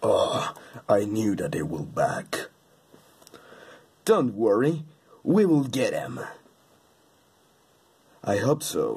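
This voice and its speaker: A man in a put-on character voice talks at a very slow pace, with long, frequent pauses. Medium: dub.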